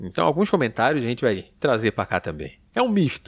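A man talks at a fairly quick clip with very wide swings in pitch, his voice dry and close with no echo on a very clean recording over a silent background. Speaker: podcast host. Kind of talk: casual chat.

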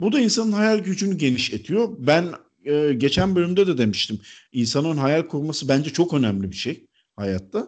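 Very wide pitch swings at a moderate pace over a quiet background. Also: man. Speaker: podcast host. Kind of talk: casual chat. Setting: remote call.

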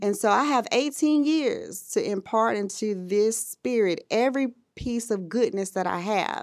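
Recorded very cleanly against a silent background, a woman with an American accent and a normal speaking voice talks at a fairly slow pace, with a fairly high pitch and ordinary pitch variation. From US South, Birmingham, Alabama. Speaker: IT professional and mother. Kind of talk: interview, casual chat.

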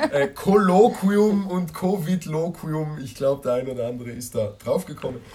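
Amid noticeable background noise, a man with a fairly high voice talks at a moderate pace, his loudness swinging widely. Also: lively intonation. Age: young. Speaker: podcast host, youth group member. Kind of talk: casual chat. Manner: hesitant, many fillers.

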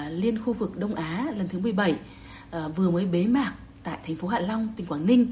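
A woman's medium-pitched voice at a moderate pace, with ordinary pitch variation and audible echo from the room. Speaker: journalist. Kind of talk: news report. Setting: remote connection.

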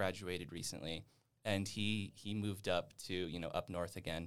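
In a plain, everyday voice, a man with an American accent speaks at a moderate pace, his fairly low pitch held in fairly even intonation, on a very clean recording with a silent background. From Nevada. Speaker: university student. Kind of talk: casual chat.

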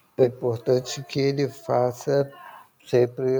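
Fairly slow pace and fairly even intonation. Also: man. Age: 60s. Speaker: physician and patient advocate. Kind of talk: interview. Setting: remote recording.

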